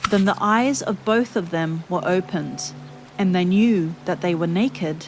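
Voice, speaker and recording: Music plays behind a woman speaking in a calm, soothing tone. Her pitch is fairly low. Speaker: Bible reader. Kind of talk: serene Bible reading with relaxing background music.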